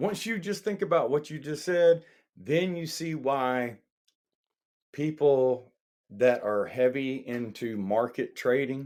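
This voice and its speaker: On a very clean recording with a silent background, a man with a Southern US accent and fairly high pitch talks at a very slow pace with lively intonation. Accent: Southern drawl. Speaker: podcast co-host. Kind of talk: casual chat.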